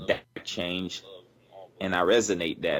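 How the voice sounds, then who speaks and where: A man talks at a fairly quick pace. His voice is very deep and low. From Haiti. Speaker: podcast producer. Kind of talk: casual chat.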